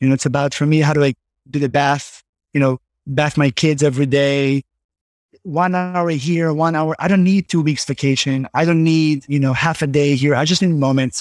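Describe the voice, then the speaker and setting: With an Israeli accent, a man speaks at a moderate pace in a fairly high pitch, with very even loudness, fairly even intonation and a dry, close sound with no echo. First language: Hebrew. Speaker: tech company founder and CEO. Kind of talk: interview. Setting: remote call from home.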